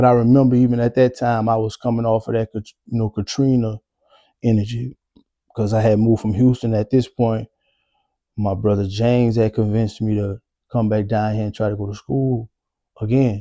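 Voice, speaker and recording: A man speaks in a dark, mellow tone with monotone, flat intonation and long, frequent pauses. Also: medium pitch for a man, fairly quick pace, dry, close sound with no echo. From New Orleans, Louisiana. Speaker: vlogger telling life story. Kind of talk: personal storytelling monologue. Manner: casual, halting with fillers.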